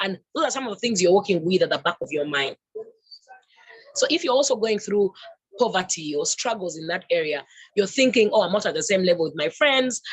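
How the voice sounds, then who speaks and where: A loud, medium-pitched female voice at a fairly quick pace, with very wide pitch swings and long, frequent pauses. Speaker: women's empowerment organization founder. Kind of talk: fireside chat talk.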